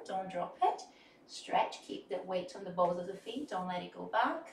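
The speech moves at a fairly slow pace. Audible room echo and light background noise are present. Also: woman. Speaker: dance instructor. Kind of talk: tutorial. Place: studio.

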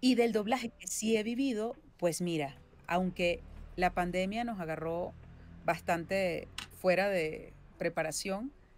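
A woman's voice with ordinary pitch variation and long, frequent pauses, a dry sound with no echo, and light background noise. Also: fairly slow pace. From Venezuela. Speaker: voice actress and singer-songwriter. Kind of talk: interview answer. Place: home room.

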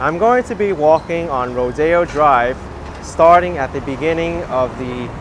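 Over noticeable background noise, a man talks with ordinary pitch variation in a dry sound with no echo. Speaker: walking tour vlogger. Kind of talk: travel narration. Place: street. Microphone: phone near.

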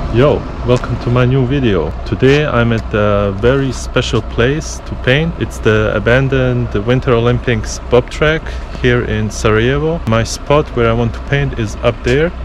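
A man speaks at a fairly slow pace in a fairly low voice, with noticeable background noise behind him. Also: dry sound with no echo. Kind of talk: casual vlog chat. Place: forest. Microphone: phone near.

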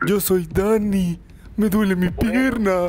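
A woman puts on a character voice at medium pitch, speaking at a very slow pace. Her intonation stays fairly even, with light background noise. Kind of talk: casual.

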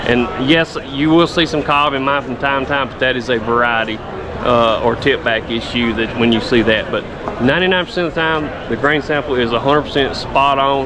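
Over clear background noise, a man talks at a fairly quick pace with few pauses, a medium pitch, and fairly even intonation.

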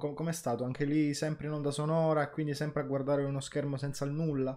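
The background stays quiet. Against it, a man talks at a fairly high pitch. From Palermo, Sicily; Sicily. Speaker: podcast host. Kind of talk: casual interview chat. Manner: animated, excitable. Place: home room.

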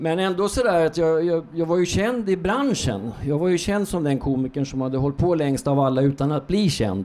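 A man's fairly high voice, an unremarkable speaking voice, at a moderate pace with hardly any pauses and lively intonation. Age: 60s. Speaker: comedian. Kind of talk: stand-up. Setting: stage with audience. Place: stage. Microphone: handheld.

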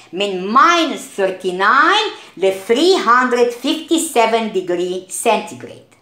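Fairly high female voice with very wide pitch swings over noticeable background noise. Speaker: science teacher. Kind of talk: lecture. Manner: mixes Arabic and English.

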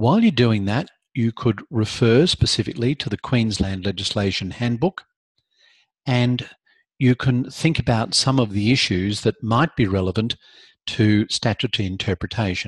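Speech moves at a moderate pace with a somewhat breathy quality and ordinary pitch variation. The sound is dry with no echo, and the background is quiet. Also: man. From Australia. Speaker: law lecturer. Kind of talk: live online lecture. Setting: video call. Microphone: video call.

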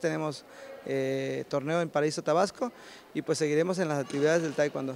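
The dry sound carries no echo as a man speaks with ordinary pitch variation over light background noise. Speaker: taekwondo instructor. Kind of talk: interview answer. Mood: satisfied, upbeat. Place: hall. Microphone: handheld.

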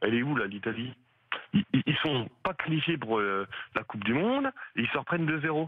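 At a moderate pace, a man with a medium pitch speaks with long, frequent pauses. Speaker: radio caller, football fan. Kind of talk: call-in opinion.

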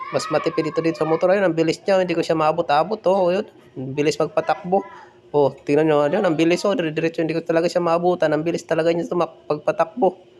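Amid noticeable background noise, a man speaks at a very fast pace in an animated tone with a high pitch. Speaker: vlogger. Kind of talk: live vlog commentary.

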